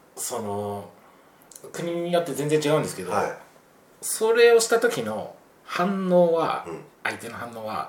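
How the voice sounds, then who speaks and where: With long, frequent pauses, a man speaks at a high pitch with very wide pitch swings and big swings in loudness, in audible room echo over noticeable background noise. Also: fairly slow pace. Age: 40s. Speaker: travel podcast guest. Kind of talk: casual chat.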